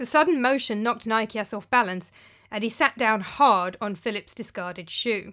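The voice reads in an unforced manner.

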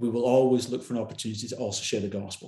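A man with a Glasgow accent talks at a very fast pace. His pitch is medium and his intonation fairly even. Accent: Scottish (Glasgow). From Scotland, Glasgow. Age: 40s. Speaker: pastor. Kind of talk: interview conversation.

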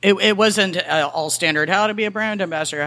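A woman with an American accent and a plain, everyday voice, at a fairly quick pace with fairly even intonation. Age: 40s. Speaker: bartender and former actor.

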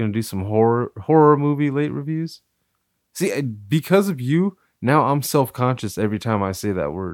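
A man talks at a moderate pace in an ordinary speaking voice, medium in pitch with lively intonation. The recording is very clean and the background silent. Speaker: podcast co-host. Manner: joking, rambling, profane.

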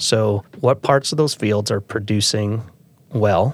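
A man speaks with a Midwestern American accent at a medium pitch and a moderate pace. The sound is dry and close, with no echo. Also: very clean recording, silent background. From Iowa, US Midwest. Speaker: farmer and farm organization president. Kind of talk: interview.

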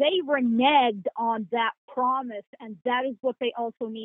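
This woman has a normal speaking voice. She talks at a moderate pace with ordinary pitch variation. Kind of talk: interview. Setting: remote call.

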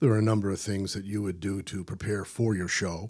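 In a plain, everyday voice, a man with a fairly low pitch talks at a fairly quick pace on a very clean recording with a silent background. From Newfoundland, Canada. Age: 60s. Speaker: radio broadcaster. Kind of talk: casual interview chat.

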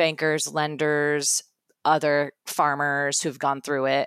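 This woman has a very deep, low pitch and an American accent. The recording is very clean, with a silent background. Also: dry, close sound with no echo. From Iowa, US Midwest. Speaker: livestock program manager and beginning farmer. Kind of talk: interview.

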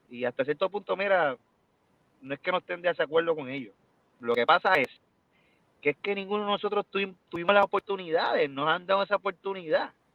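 Speaking fairly quickly with long, frequent pauses, a man uses a high-pitched voice with ordinary pitch variation. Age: 30s. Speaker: salsa singer. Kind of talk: interview.

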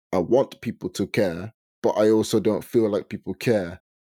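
The voice has a dark, mellow tone and fairly even intonation at a moderate pace, in a very clean recording with a silent background and a dry, close sound with no echo. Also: man. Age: 20s. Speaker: podcast host. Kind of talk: casual chat.

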